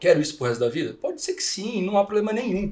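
A man with lively intonation. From Brazil, interior of São Paulo state. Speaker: podcast host and company CEO. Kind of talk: casual chat. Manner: animated.

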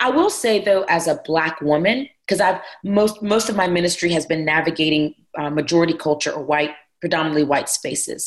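A woman with a normal speaking voice and an American accent talks at a fairly quick pace, her fairly low pitch showing ordinary variation. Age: 40s. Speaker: pastor. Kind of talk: casual chat.

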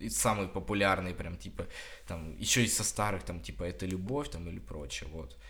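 In a room with audible echo, a man with very deep, low pitch and vocal fry swings widely in pitch, his tone bright and sharp. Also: moderate pace. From Russia, Krasnodar Krai (Kuban). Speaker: student podcaster. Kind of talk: casual chat.

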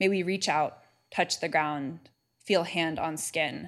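In a very clean recording with a silent background, a woman with an American accent and an unremarkable speaking voice talks at a fairly slow pace, with a fairly low pitch and ordinary pitch variation. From California. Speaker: divinity student presenting a paper. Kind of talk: paper presentation.

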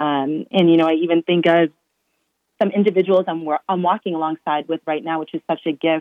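An ordinary speaking voice from a woman, fairly low in pitch, with fairly even intonation and a fairly quick pace. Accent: American. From Massachusetts. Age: 20s. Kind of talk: interview.

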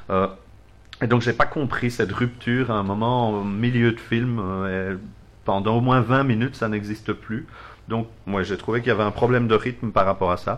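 A man with a Belgian accent talks at a moderate pace. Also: medium pitch for a man, fairly even intonation. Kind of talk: casual chat.

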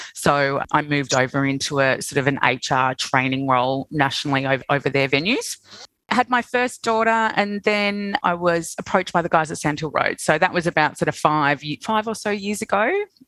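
In an Australian accent, a woman speaks with lively intonation at a moderate pace. Her pitch is very deep and low for a woman. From Australia, Sydney. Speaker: hospitality group CEO. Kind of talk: casual interview.

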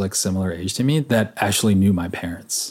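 This is an ordinary speaking voice at a fairly quick pace. The man's pitch is fairly low. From Los Angeles area, California (San Gabriel Valley). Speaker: former drinker recounting recovery. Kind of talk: casual interview conversation.

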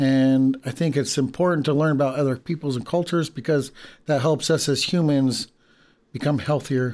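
A man with a fairly high pitch speaks at a moderate pace in an ordinary speaking voice and an American accent. His intonation is fairly even, and the recording is very clean with a silent background. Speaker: language teacher. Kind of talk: casual chat.

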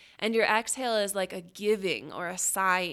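A woman's plain, everyday voice at a medium pitch, with fairly even intonation and a moderate pace, on a very clean recording with a silent background. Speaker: yoga instructor. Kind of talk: guided yoga class, breath-cued pose instructions. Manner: calm, short imperative cues paced to the breath; gentle, soothing, invites inner noticing.

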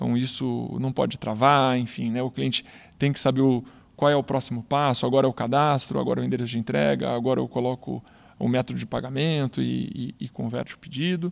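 A man talks fairly quickly on a very clean recording, the background silent. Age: 30s. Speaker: retail performance manager. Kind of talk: interview podcast.

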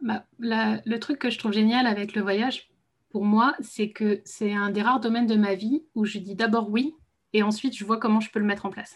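Her fairly high-pitched voice is somewhat breathy, and this woman keeps her intonation fairly even. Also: moderate pace. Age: 30s. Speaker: translator and travel business founder. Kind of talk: casual interview. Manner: hesitant, many fillers.

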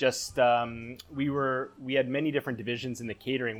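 A man with a Canadian accent speaks at medium pitch and a moderate pace. Music plays in the background. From Canada, Vancouver. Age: 30s. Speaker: chef. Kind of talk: casual chat.

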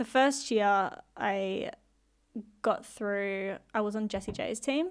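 In a very clean recording with a silent background, a woman speaks in an animated tone with an Australian accent. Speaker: pop singer. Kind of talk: casual interview. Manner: animated, excitable.

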